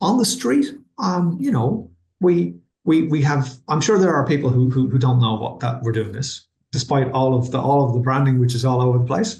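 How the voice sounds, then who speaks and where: A man with an Irish accent at a medium pitch, somewhat breathy, lively in intonation, and at a moderate pace. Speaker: university vice-chancellor. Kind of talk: webinar interview. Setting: online webinar. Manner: halting, many repetitions.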